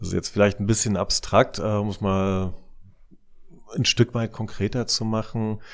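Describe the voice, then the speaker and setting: A man's fairly low voice with fairly even intonation, a fairly slow pace, and long, frequent pauses, on a very clean recording with a silent background. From East Germany. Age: 40s. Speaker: CEO of a futures research institute. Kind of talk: interview. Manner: halting with frequent repetitions.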